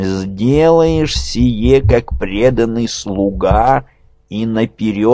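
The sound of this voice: Lively intonation marks this clip. The reading voice is unforced.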